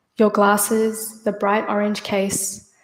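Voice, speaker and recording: Very slowly, a woman speaks in a fairly high voice with an Australian accent. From Australia, Sydney. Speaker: poet. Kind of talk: poetry reading.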